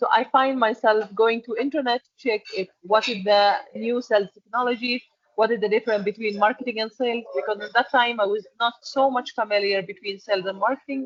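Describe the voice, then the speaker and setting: A woman speaks with an Arabic accent at a fairly quick pace. Her pitch is fairly high. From Egypt. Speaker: export and packaging manager. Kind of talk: interview. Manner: halting.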